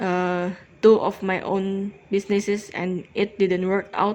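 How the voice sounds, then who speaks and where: A woman speaks very slowly in an Indonesian accent, at a medium pitch. Her intonation is flat and monotone over a quiet background. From Indonesia, Jakarta. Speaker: cross stitch vlogger. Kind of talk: casual chat. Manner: halting.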